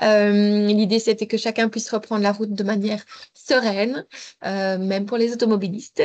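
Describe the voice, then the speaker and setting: A woman talks in a fairly high pitch. The background is quiet. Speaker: mobility advisor. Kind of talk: webinar presentation. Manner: fast.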